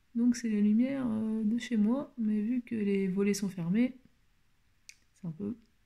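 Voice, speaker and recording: Long, frequent pauses break up speech that moves at a very slow pace. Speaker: beauty vlogger. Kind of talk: makeup tutorial. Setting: at home, shutters closed. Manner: speaking quietly; halting, many hesitations.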